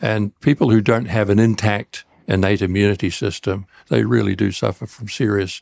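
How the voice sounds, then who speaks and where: In a New Zealand accent, a man speaks at a moderate pace with a fairly low pitch, vocal fry and ordinary pitch variation, recorded with a dry, close sound with no echo on a very clean recording with a silent background. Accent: New Zealand accent, noticeable to Americans. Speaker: cancer researcher. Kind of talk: podcast interview.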